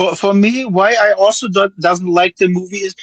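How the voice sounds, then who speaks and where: Speaking fairly slowly with a non-native accent, a man uses a high pitch in a dry, close sound with no echo. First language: not English. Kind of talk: casual chat. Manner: halting.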